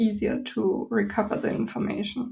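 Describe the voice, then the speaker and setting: Her voice is fairly high in pitch and somewhat breathy, with a dark, mellow tone. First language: German. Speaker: podcast host. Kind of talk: interview.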